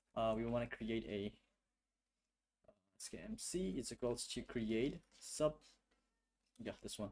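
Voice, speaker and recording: A man speaks with a non-native accent at a fairly slow pace, leaving long, frequent pauses. His pitch varies in an ordinary way. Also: medium pitch for a man. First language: not English. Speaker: game developer streamer. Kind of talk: live coding stream with chat. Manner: halting, many fillers.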